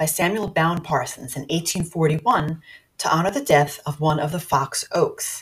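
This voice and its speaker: A somewhat breathy woman with a very deep, low pitch, ordinary pitch variation and a moderate pace. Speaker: podcast host. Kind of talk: scripted introduction and outro.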